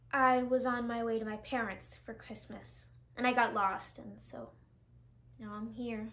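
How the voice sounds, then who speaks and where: A woman speaks at a fairly slow pace, with long, frequent pauses and big swings in loudness. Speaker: actor in skit. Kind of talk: scripted dialogue. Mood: friendly, light. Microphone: headset.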